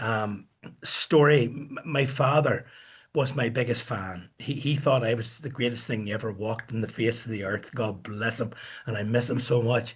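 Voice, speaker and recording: At a moderate pace, a man talks with fairly even intonation and a somewhat breathy sound. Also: medium pitch for a man. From Northern Ireland, Coleraine. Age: 70s. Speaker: musician and record producer. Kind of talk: interview storytelling.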